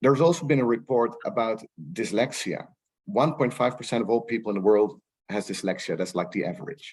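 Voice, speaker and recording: Speaking at a fairly quick pace with lively intonation, a man with a Dutch accent talks at a medium pitch. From Netherlands. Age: 40s. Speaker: rights professional. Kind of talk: panel discussion. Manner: halting, many repetitions.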